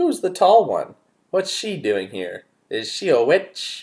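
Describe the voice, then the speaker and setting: Speaking at a fairly slow pace, the man takes his time. He uses a put-on character voice. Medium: read story. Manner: blunt, quarrelsome.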